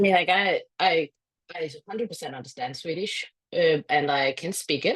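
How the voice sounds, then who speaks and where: A woman's fairly low pitch with lively intonation. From Denmark. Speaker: author. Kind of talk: interview.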